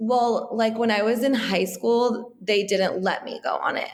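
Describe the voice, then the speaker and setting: A woman speaks at a moderate pace in a fairly high pitch. Hers is a plain, everyday voice. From US, Iranian immigrant family. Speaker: wellness entrepreneur. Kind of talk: interview. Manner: casual, many fillers.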